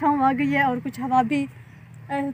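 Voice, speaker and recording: Light background noise accompanies a woman's voice in a dry sound with no echo. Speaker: village vlogger. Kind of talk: casual vlog chat. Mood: warm, relaxed. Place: farm. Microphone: phone near.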